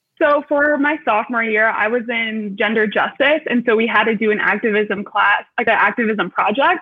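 A woman's fairly high-pitched voice with an American accent, an ordinary speaking voice at a moderate pace, with hardly any pauses, ordinary pitch variation and very even loudness. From Metro Detroit, US Midwest. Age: 20s. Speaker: university student panelist. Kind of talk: live panel discussion.

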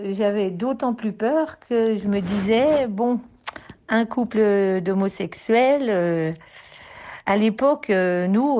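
A woman's medium-pitched voice at a very slow pace, with very even loudness and ordinary pitch variation. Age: 60s. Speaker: grandmother. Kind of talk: testimony.

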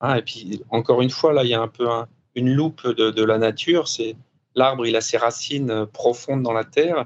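A man at medium pitch and a moderate pace, with fairly even intonation. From France. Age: 50s. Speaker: former offshore sailor turned business coach. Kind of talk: interview. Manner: hesitant, many fillers.

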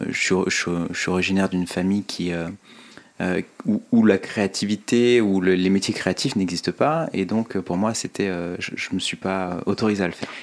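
A man's very deep, low voice at a fairly slow pace with fairly even intonation. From France, Ain (Oyonnax). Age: 30s. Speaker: fashion entrepreneur and podcaster. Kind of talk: interview. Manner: halting, many fillers and repetitions.

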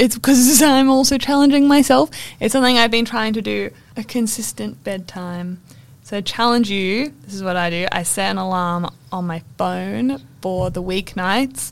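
Her intonation lively, a woman talks at a medium pitch. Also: moderate pace. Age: 20s. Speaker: podcast co-host. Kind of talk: casual chat. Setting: library recording room.

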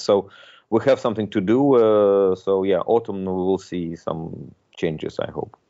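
The speaker has a Russian accent and ordinary pitch variation. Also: man. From Russia, Moscow. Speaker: tech entrepreneur. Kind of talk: interview. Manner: halting, many repetitions.

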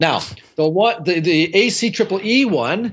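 Speaking at a moderate pace with lively intonation, a man with a Canadian accent has an unremarkable speaking voice. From Canada. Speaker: building science consultant. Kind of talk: interview.

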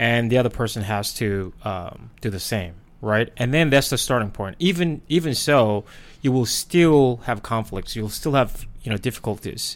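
A man's medium-pitched voice with a Korean accent, lively intonation and a moderate pace. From South Korea. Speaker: podcast co-host. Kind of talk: casual chat. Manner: halting, many fillers.

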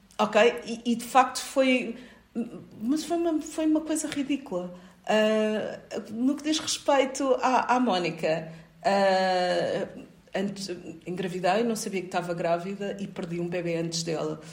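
A woman's somewhat breathy, fairly high voice, with very wide pitch swings, at a fairly slow pace. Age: 40s. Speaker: occupational safety expert and university lecturer. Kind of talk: interview.

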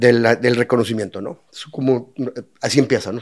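Speaking with a Mexican accent, a man talks at a medium pitch. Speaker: lawyer turned brewer and restaurateur. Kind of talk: casual interview chat. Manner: halting, many repetitions.

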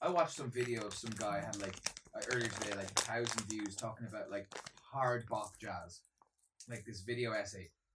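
In an Irish accent, a man speaks at a fairly quick pace with fairly low pitch and fairly even intonation. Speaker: co-host, musician. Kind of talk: casual chat. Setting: at his own home.

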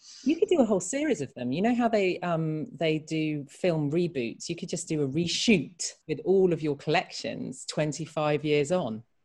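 With a southern English accent and a fairly low pitch, a woman talks at a moderate pace in lively intonation, with hardly any pauses. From England, Reading. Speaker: podcast host for an arts charity. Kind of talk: casual chat.

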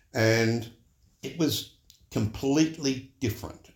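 With an Australian accent, this somewhat breathy voice shows ordinary pitch variation. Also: man. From Sydney, Australia. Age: 70s. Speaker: church member and retired HR executive. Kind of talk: casual interview conversation about faith. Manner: thoughtful, witty.

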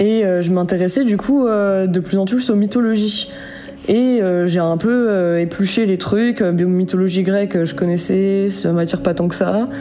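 Against audible room echo and noticeable background noise, a woman speaks at a fairly slow pace with very even loudness, her medium pitch showing ordinary pitch variation. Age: 20s. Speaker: storyteller sharing paranormal experience. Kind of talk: personal testimony. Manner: hesitant, many fillers.

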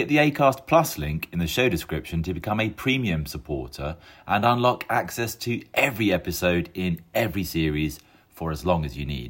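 A man's very deep, low voice with vocal fry and very wide pitch swings, at a moderate pace, on a very clean recording with a silent background. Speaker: podcast announcer. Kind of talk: scripted promo intro and outro.

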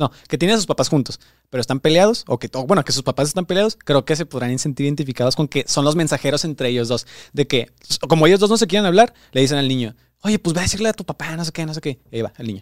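The speech comes at a very fast pace with lively intonation. The sound is dry and close with no echo, in a very clean recording with a silent background. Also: man, fairly high pitch for a man. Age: 20s. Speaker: producer and co-host. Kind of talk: casual chat.

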